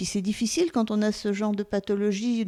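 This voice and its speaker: Speaking at a fairly quick pace, a woman has a medium pitch and a dark, mellow tone. The recording is very clean with a silent background and a dry, close sound with no echo. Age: 60s. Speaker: patient giving testimony. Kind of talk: testimony. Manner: halting, many hesitations.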